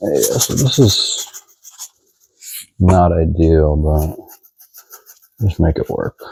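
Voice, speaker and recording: In an American accent, the voice speaks at a very slow pace with a relaxed tone, somewhat breathy delivery, ordinary pitch variation and long, frequent pauses. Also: man, very deep, low pitch for a man. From Texas. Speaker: home cook. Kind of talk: cooking tutorial. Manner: casual, relaxed.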